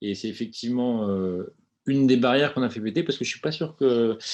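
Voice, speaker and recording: A man talks at a fairly quick pace and a medium pitch, in an ordinary speaking voice. The background is quiet. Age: 40s. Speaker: company founder. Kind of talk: webinar presentation.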